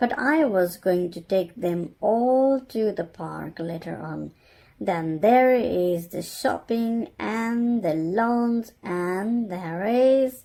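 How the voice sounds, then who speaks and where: At a very slow pace, a female-sounding voice at medium pitch performs a put-on character voice. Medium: read story.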